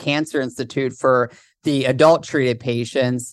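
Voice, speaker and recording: A man talks in an ordinary speaking voice at a fairly slow pace. His intonation is fairly even, and the background is quiet. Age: 20s. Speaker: author and childhood cancer survivor. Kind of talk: interview.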